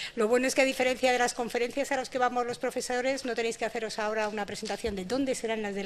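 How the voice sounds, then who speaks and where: The speech runs at a very fast pace with fairly even intonation. Light background noise can be heard. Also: woman. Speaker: university vice-rector and professor. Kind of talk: short closing speech. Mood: warm, congratulatory. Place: hall. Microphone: podium.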